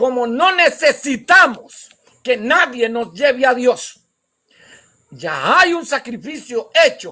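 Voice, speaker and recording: In a raised, projected voice, a man speaks at a very slow pace with an extremely high pitch, a bright, sharp tone and lively intonation. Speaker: pastor and evangelist. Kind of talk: sermon. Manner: slow, deliberate.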